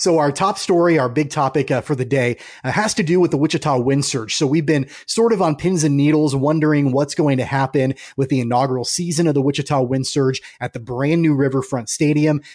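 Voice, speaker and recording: An ordinary speaking voice from a man, fairly high in pitch with ordinary pitch variation, fairly quick with hardly any pauses, very even in loudness, over a quiet background. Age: 30s. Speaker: sports podcast host. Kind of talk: casual sports podcast chat.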